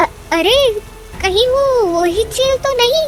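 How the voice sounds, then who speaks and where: A cartoonish character voice speaks at a fairly slow pace over clear background music. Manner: warm, sympathetic.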